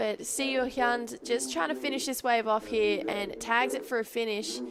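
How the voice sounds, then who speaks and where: Someone with an Australian accent speaks at a fairly slow pace with lively intonation over noticeable background noise. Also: woman. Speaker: surf commentator. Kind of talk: live commentary. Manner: animated.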